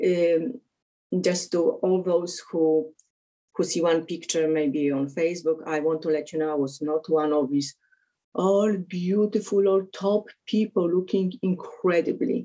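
A woman with a Polish accent speaks at a fairly slow pace, her fairly low pitch varying in an ordinary way, with a dark, mellow tone and very even loudness. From Poland. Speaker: martial artist and doctor. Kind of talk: interview.

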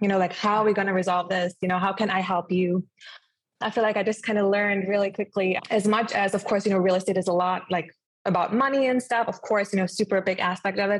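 With a German accent, a woman speaks very fast at a medium pitch, her intonation monotone and flat and her loudness very even. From Germany. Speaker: realtor. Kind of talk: casual interview.

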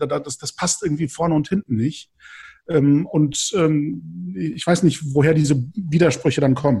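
This man's voice is fairly high, somewhat breathy and dark and mellow in tone, with lively intonation at a fairly slow pace. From northern Germany (Lübeck), Turkish family. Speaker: podcaster. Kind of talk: casual chat.

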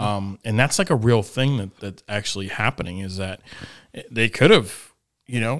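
The speaker uses a normal speaking voice at a moderate pace, with ordinary pitch variation and big swings in loudness. The recording is very clean, with a silent background. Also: man, fairly low pitch for a man. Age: 40s. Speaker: podcast host. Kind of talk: casual chat. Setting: studio.

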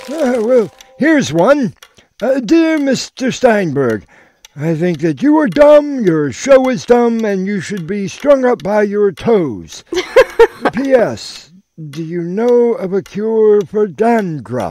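A man speaks very slowly in a high voice, his pitch swinging very widely. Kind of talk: comedic radio detective drama. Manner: polite, fussy, gently scolding.

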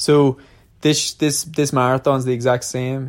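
A man in an Irish accent, medium in pitch, at a fairly slow pace. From Ireland. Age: 30s. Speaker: professional marathon runner. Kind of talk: casual Q&A monologue. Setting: at altitude training camp.

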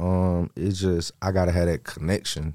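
With an American accent, the voice has a dark, mellow tone on a very clean recording with a silent background. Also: man. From US South, Georgia (Stone Mountain, east Atlanta). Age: 30s. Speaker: rapper. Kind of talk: casual chat.

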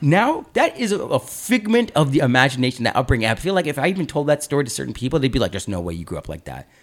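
Racing at a very fast pace with hardly any pauses, a man with a fairly high, fry-tinged voice makes very wide pitch swings and big swings in loudness. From Canada (Aurora, Ontario). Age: 20s. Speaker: podcast host. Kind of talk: casual chat.

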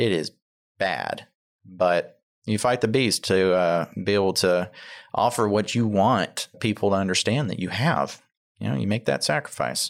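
With a Texan accent and a fairly low pitch, a man speaks at a moderate pace with lively intonation on a very clean recording with a silent background. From Texas, Tomball area. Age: 30s. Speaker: restaurant owner. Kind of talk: casual chat. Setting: studio.

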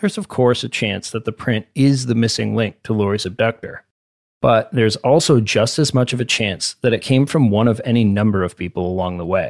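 At a fairly quick pace, a man with a plain, everyday voice speaks at medium pitch with ordinary pitch variation, in a dry, close sound with no echo on a very clean recording with a silent background. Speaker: podcast host and narrator. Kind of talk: scripted narration with ad reads.

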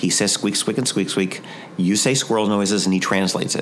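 A man with a fairly low pitch and ordinary pitch variation at a fairly quick pace, with noticeable background noise. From Cincinnati. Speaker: voice actor. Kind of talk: interview.

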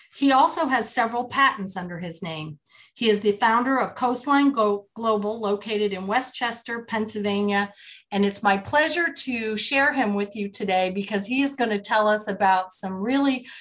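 In a very clean recording with a silent background, a woman speaks at a moderate pace. She has an ordinary speaking voice, fairly high in pitch, with ordinary pitch variation. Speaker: podcast host and estate planning attorney. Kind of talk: interview.

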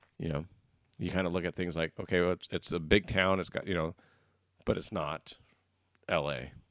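Speaking with an American accent at a fairly quick pace, a man with a very deep, low pitch keeps his intonation fairly even and leaves long, frequent pauses in a very clean recording with a silent background. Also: dry, close sound with no echo. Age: 50s. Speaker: podcast host and salesperson. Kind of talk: casual interview chat.

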